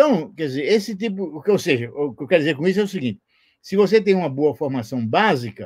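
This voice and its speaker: A man is talking here. His voice rises and falls across a very wide range. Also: very clean recording, silent background. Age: 70s. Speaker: retired physics professor. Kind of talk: interview. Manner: halting, many repetitions.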